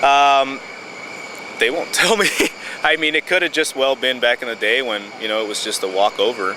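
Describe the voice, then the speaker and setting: A man talks at a moderate pace in a medium pitch with lively intonation and long, frequent pauses. Noticeable background noise runs underneath. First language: Spanish. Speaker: border patrol agent. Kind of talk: documentary interview. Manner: halting, many fillers.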